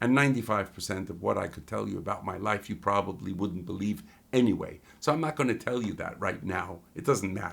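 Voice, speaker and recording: This man has a plain, everyday voice, fairly low in pitch with ordinary pitch variation, and he talks at a fairly quick pace with hardly any pauses. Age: 60s. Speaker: life and business coach. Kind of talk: motivational talk to camera.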